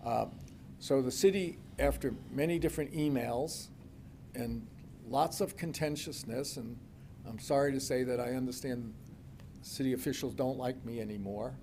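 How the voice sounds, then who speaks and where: The tone is dark and mellow, with ordinary pitch variation at a moderate pace. Long, frequent pauses break the speech, and room echo is audible. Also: man, medium pitch for a man. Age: 80s+. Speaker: property developer. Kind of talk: public meeting presentation. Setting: city commission meeting. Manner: halting.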